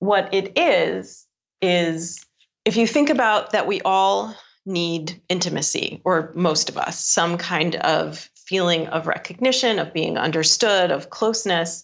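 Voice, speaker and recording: A woman with a normal speaking voice talks at a fairly slow pace and a medium pitch, with ordinary pitch variation. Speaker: author and speaker. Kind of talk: casual interview chat.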